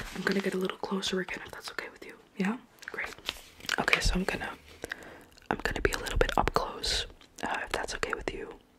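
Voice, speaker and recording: Whispering and soft-spoken, a woman talks at a very fast pace. Loud background noise surrounds her. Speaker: ASMR creator. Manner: soft, close ASMR whisper. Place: home room. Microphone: earbuds.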